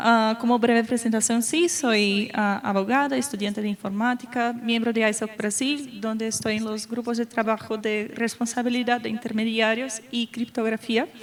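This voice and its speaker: Someone with a Brazilian accent speaks at a moderate pace with fairly even intonation and hardly any pauses, over noticeable background noise. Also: woman, fairly high pitch for a woman. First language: Portuguese (speaking Spanish). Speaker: lawyer and panelist. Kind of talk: panel talk. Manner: halting, many fillers.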